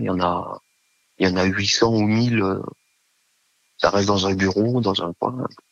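In a dry, close recording with no echo, a man talks at a fairly slow pace with a fairly low pitch and ordinary pitch variation. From Savoie, France. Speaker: former military nurse. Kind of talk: casual interview. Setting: phone call. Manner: hesitant, many fillers.

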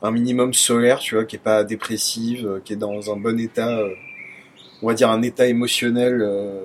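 Over noticeable background noise, a man speaks at a medium pitch and moderate pace in a monotone, flat intonation. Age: 20s. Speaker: dating app user sharing experiences. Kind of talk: casual chat.

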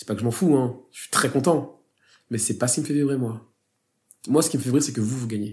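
A man talks fairly quickly at medium pitch with ordinary pitch variation, somewhat breathy, with big swings in loudness and long, frequent pauses. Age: 30s. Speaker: advertising creative director and teacher. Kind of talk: casual interview chat.

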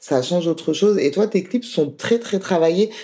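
A woman's dark, mellow tone in a strong French accent. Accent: strong French accent in other languages. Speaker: podcast host. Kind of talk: interview; scripted outro.

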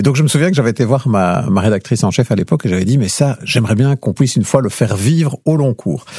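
Very fast talk from a man at a medium pitch, lively in intonation, over noticeable background noise. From Belgium, Liège province (Lierneux). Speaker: radio journalist. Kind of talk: interview conversation. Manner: clear, didactic.

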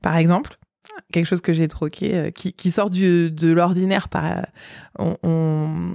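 This woman has a dark, mellow tone and a fairly low pitch. She talks at a fairly slow pace with fairly even intonation over a very clean recording and a silent background. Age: 30s. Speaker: mother of eight, cancer survivor. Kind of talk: interview testimony. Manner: hesitant, many fillers.

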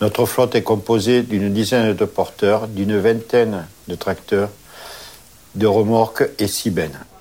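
Against noticeable background noise, a man talks slowly-ish with a fairly low pitch, fairly even intonation and long, frequent pauses. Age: 50s. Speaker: transport operations manager. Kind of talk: interview.

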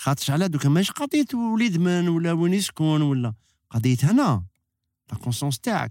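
A man's high voice in an Algiers accent, with very wide pitch swings, very even loudness and a moderate pace, on a very clean recording over a silent background. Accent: Algiers Algerian Arabic with French. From Algeria, Algiers. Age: 50s. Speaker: actor. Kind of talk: casual chat. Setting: studio.

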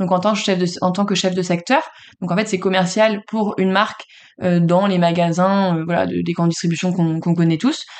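In an unremarkable speaking voice, a woman of medium pitch talks at a moderate pace with fairly even intonation and very even loudness. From France, Le Mans. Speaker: real estate agency founder. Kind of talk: interview.

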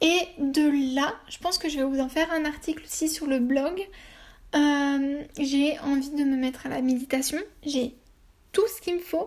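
A woman talks at a fairly slow pace. Her high voice keeps a fairly even intonation. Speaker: lifestyle blogger and podcaster. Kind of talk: casual solo monologue. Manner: hesitant, many filler sounds.

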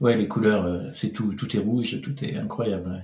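A man speaks at a moderate pace. His tone is dark and mellow, and somewhat breathy. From France, Pays de la Loire (Angers). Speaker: French expatriate in Norway. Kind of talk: casual interview chat. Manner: hesitant, many repetitions and fillers.

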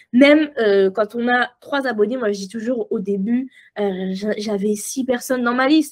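The woman's high-pitched voice shows ordinary pitch variation as she talks at a fairly slow pace. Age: 20s. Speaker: copywriting mentor and entrepreneur. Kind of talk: casual interview chat. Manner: animated, frequent laughter.

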